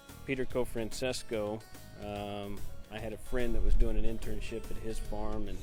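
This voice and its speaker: A man is speaking. Music plays in the background. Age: young. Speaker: horse show announcer and auctioneer. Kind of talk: interview answer.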